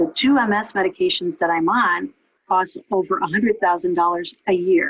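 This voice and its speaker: In an ordinary speaking voice, a woman talks at a moderate pace with medium pitch, lively intonation and very even loudness. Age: 60s. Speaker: patient with multiple sclerosis giving testimony. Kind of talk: testimony. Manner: conversational with frequent fillers.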